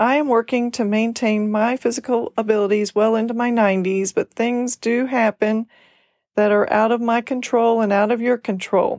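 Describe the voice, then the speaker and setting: Recorded very cleanly against a silent background, with a dry, close sound and no echo, a woman with an unremarkable speaking voice talks at a moderate pace and a fairly high pitch. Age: 60s. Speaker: podcast host, senior care business owner. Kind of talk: scripted monologue.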